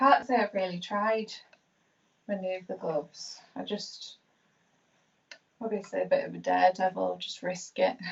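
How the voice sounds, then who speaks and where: With a Yorkshire accent, a woman talks with long, frequent pauses. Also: moderate pace, big swings in loudness. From Yorkshire, northern England. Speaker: hairstylist. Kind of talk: live tutorial demonstration. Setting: live stream.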